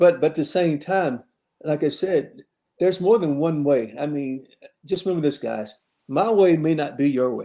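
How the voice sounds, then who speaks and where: A man's fairly high voice, dark and mellow in tone, at a moderate pace. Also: ordinary pitch variation. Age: 70s. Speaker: football coach. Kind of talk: casual chat.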